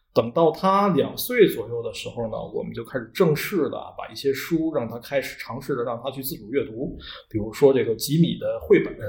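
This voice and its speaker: Speaking at a fairly quick pace, a man lets his loudness swing widely. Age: 30s. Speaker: children's author. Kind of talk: casual interview chat. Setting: non-studio room with reduced sound quality.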